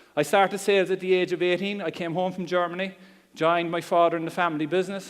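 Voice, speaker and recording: A man with a strong Cork accent talks at a fairly high pitch. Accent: Cork Irish, strong. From Ireland, Cork. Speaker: internet marketing speaker. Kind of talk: seminar talk. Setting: stage with audience. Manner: casual, humorous.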